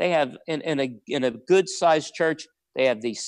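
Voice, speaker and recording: This man's voice has ordinary pitch variation. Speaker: practice marketing consultant. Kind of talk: webinar presentation. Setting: live webinar. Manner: fast; animated.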